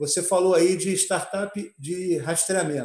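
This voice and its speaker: A man speaking at a very slow pace, high-pitched for a man. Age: 60s. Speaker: lawyer. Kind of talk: online panel discussion. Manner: halting, many fillers and restarts.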